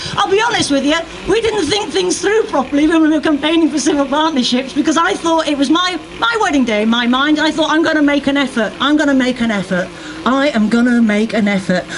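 A woman talks at a very fast pace with a high pitch and very wide pitch swings. Light background noise is present. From UK. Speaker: stand-up comedian. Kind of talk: stand-up comedy. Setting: outdoors, stage with audience. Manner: animated, playful. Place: street. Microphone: handheld.

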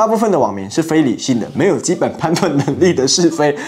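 A man's voice at a moderate pace, with very wide pitch swings. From Taiwan. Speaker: YouTuber political commentator; political commentary YouTuber. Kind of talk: commentary monologue. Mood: mocking, sarcastic. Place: studio. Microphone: lapel.

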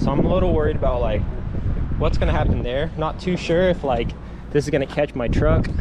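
Loud background noise accompanies a man as he speaks. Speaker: skateboarder vlogger. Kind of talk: casual vlog chat. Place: street. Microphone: phone near.

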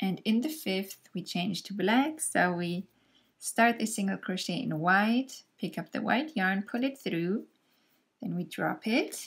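In a very clean recording with a silent background, a woman with a medium-pitched, somewhat breathy voice and a calm tone talks at a very slow pace with lively intonation. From Germany. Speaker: crochet tutorial creator. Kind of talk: tutorial. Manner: calm, friendly and explanatory.

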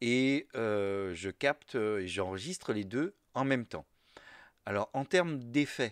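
A man speaks very slowly at a medium pitch, his intonation lively. The recording is very clean and dry, close with no echo, over a silent background. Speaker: podcaster. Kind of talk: tutorial. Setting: home office. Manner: halting, many hesitations.

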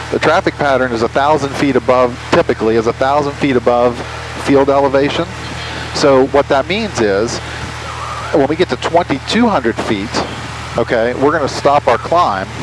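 Against noticeable background noise, a man talks with long, frequent pauses in a dry sound with no echo. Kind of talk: instructional explanation. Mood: calm, patient. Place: plane. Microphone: headset.

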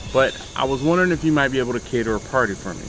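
A man talks at a very fast pace with ordinary pitch variation. The sound is dry with no echo, and there is light background noise. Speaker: barbecue channel host. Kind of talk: casual vlog chat. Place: street. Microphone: camera far.

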